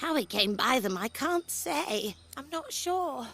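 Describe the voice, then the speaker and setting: A female-sounding voice performs a put-on character voice. Clear music plays in the background. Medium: video game. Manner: polite, mild, self-deprecating.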